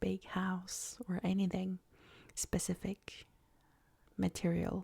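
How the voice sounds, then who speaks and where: Soft-spoken and somewhat breathy, a woman talks at a very slow pace in a medium pitch with a gentle, dark, mellow tone. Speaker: meditation guide. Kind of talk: casual talk to camera. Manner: soft-spoken, gentle.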